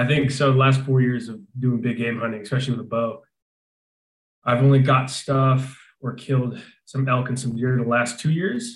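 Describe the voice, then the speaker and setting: With an American accent, a man speaks at medium pitch and a moderate pace, somewhat breathy and fairly even in intonation, with audible room echo. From Arizona. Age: 20s. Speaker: falconry business owner. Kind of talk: casual interview.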